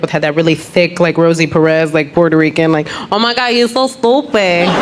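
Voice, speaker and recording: With an American accent, a woman speaks very fast at a fairly low pitch with ordinary pitch variation, and noticeable background noise is present. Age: 30s. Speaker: comedian. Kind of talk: stand-up. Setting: stage with audience. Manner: animated.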